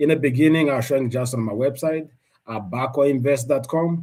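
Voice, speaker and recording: A man with a non-native accent and a dark, mellow tone sounds somewhat breathy, his pitch varying in an ordinary way. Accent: non-native accent, self-noted. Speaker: investing YouTuber. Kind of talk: live stream update. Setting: livestream. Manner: halting, repeats words.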